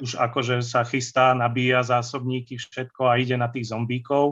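This is a man speaking at a medium pitch. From central Slovakia, Banská Štiavnica area. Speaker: fantasy and historical novelist. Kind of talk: casual interview, nostalgic storytelling.

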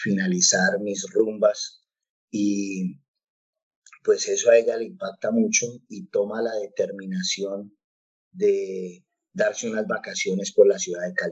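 A man's very slow speech, broken by long, frequent pauses and marked by big swings in loudness. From Colombia, Bogotá. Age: 40s. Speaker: pastor. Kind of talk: interview testimony. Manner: hesitant, many fillers.

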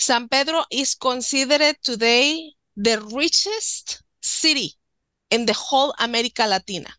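With a Spanish accent, a woman uses a raised, projected voice with a high pitch and a bright, sharp tone. She talks at a fairly slow pace with lively intonation and very even loudness. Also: dry, close sound with no echo, quiet background. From Mexico, Nuevo León. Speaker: author and witchcraft practitioner. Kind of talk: casual interview.

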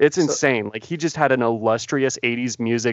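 Speaking fairly quickly with a Canadian accent, the voice is an unremarkable speaking voice with ordinary pitch variation, recorded dry and close with no echo. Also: man. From Canada. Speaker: podcast co-host. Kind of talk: casual chat.

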